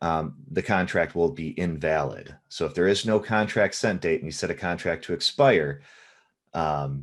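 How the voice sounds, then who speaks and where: Lively intonation over a quiet background. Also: man, very deep, low pitch for a man. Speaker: software trainer. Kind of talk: live tutorial. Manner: fast.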